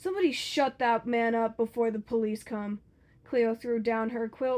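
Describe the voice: Fairly even intonation in plain reading aloud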